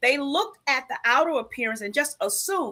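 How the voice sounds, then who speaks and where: A woman's high-pitched, bright, sharp voice, raised and projected, with an animated tone at a moderate pace. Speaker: live show co-host and coach. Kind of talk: live show talk, personal testimony. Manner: loud.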